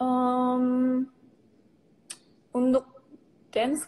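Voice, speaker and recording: A woman's voice, high in pitch. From Yogyakarta, Java, Indonesia. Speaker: K-pop idol. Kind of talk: interview answer. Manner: casual, chatty.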